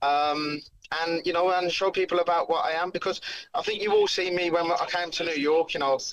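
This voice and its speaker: In a Birmingham accent, a man speaks at a fairly quick pace with a high pitch. His intonation stays flat and monotone. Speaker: bare knuckle fighter. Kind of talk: casual interview chat.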